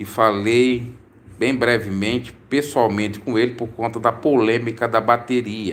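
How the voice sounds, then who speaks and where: A man's delivery is fairly slow. His pitch stays flat and monotone. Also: medium pitch for a man. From Brazil, Santa Catarina. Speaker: preacher and religious commentator. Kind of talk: live stream Q&A.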